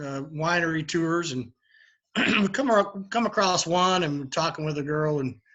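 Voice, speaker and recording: A man with a strong Kentucky accent speaks at a high pitch and a moderate pace, with ordinary pitch variation. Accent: heavy Kentucky. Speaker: bourbon bar owner. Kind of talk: interview. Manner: halting, many fillers.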